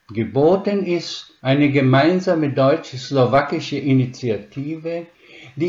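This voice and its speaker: The voice is somewhat breathy, moving at a very slow pace. Its pitch varies in an ordinary way. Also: man. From Slovakia (Spiš German community), raised from 1946 in Upper Franconia. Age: 80s+. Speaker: retired professor of special education. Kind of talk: interview answers, read-out prepared text. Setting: online interview. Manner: formal.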